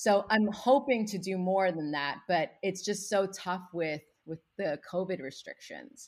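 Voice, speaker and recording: A medium-pitched woman at a fairly slow pace, with ordinary pitch variation, in a very clean recording with a silent background. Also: hardly any pauses. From US. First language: Spanish. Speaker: children's book author and educator. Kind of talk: casual interview chat.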